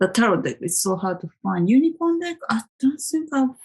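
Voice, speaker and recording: A woman's somewhat breathy voice with a Japanese accent and very wide pitch swings. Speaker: tarot vlogger. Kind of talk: casual monologue. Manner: hesitant, with many fillers.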